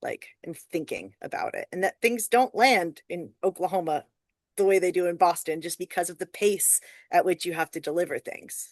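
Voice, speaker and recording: A woman with a plain, everyday voice speaks at a medium pitch and moderate pace with ordinary pitch variation, sounding dry and close with no echo over a quiet background. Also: big swings in loudness. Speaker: storyteller. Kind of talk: casual chat.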